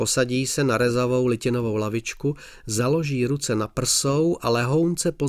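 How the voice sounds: Pitch variation here is ordinary. The voice is a natural reading voice.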